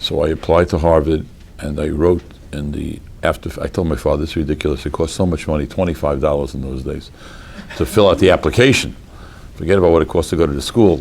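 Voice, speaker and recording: Over noticeable background noise, a man with an American accent talks at a very fast pace in a very deep, low pitch, with ordinary pitch variation and long, frequent pauses. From US Northeast (Boston). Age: 60s. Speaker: rabbi, Talmudic law scholar. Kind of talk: lecture. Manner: animated.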